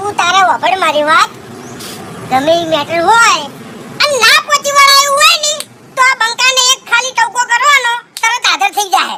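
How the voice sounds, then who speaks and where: This cartoonish character voice has an extremely high pitch and a moderate pace. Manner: rustic, blustering.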